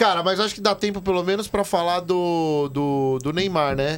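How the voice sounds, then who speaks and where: Delivered at a moderate pace, the man's speech has lively intonation. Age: 30s. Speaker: football podcast host. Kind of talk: casual chat. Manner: animated.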